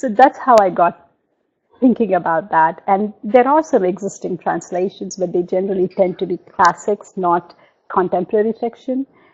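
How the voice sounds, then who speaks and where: Moderate pace and ordinary pitch variation from a woman's voice of medium pitch. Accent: Telugu. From India. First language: Telugu. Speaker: novelist. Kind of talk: interview. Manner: halting.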